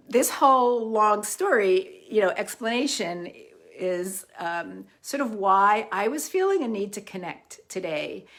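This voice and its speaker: Fairly slow delivery with ordinary pitch variation, on a very clean recording against a silent background. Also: woman, fairly high pitch for a woman. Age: 60s. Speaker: holistic psychotherapist and healer. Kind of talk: casual personal talk before guided exercise. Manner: halting with many fillers.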